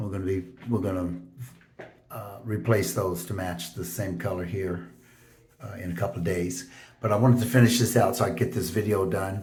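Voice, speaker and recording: A somewhat breathy male voice at a fairly quick pace, fairly even in intonation, with long, frequent pauses and audible room echo. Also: fairly low pitch for a man. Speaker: DIY home renovator. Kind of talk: tutorial. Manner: halting, many fillers; casual.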